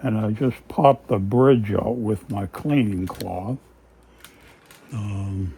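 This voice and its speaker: A man speaks at a very slow pace with long, frequent pauses, his pitch fairly low and its variation ordinary. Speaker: guitar hobbyist video maker. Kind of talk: tutorial. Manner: casual, hesitant with many fillers.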